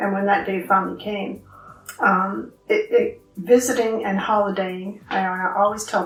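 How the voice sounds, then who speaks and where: Music plays in the background as a woman with a medium pitch speaks at a fairly slow pace in a monotone, flat intonation. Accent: Ontario. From Ontario, Canada. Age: 60s. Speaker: knitting group co-founder. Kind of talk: interview.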